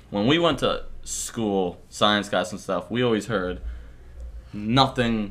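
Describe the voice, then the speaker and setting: There is vocal fry in this man's medium-pitched voice as he talks at a fairly slow pace. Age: 20s. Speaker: podcast host. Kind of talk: casual chat.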